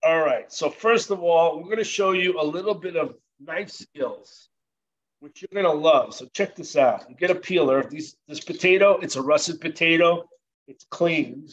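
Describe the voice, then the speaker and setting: A high-pitched man with an American accent talks at a moderate pace, showing ordinary pitch variation and big swings in loudness. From New Jersey. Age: 60s. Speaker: chef instructor. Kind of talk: cooking demonstration. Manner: casual, conversational.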